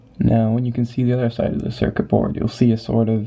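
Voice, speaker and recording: Someone soft-spoken talks while noticeable background noise runs underneath. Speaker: gaming video reviewer. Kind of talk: tutorial. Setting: home at night. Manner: soft-spoken, talking quietly.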